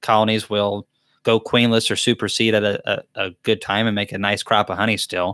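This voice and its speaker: With a Southern US accent, a man speaks in a bright, sharp tone at a fairly quick pace. His delivery is monotone and flat, the sound dry with no echo and the background quiet. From US South. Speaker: beekeeper and channel host; beekeeper hosting live Q&A. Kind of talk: live Q&A chat. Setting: livestream from a laptop. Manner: casual, chatty. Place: home room. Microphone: studio mic.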